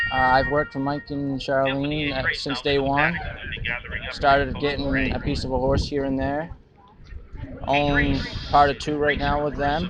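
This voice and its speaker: Against noticeable background noise, a man with a fairly high pitch speaks at a moderate pace in a monotone, flat intonation. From northern England, Liverpool area. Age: 20s. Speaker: harness racing driver and trainer. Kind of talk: casual interview. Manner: brief, understated answers.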